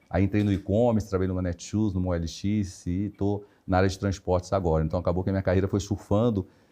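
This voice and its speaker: In a Rio de Janeiro accent, the speaker races at a very fast pace with hardly any pauses, in a dark, mellow tone and monotone, flat intonation. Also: man, very deep, low pitch for a man. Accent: carioca. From Rio de Janeiro, Brazil. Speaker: HR director. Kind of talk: interview conversation.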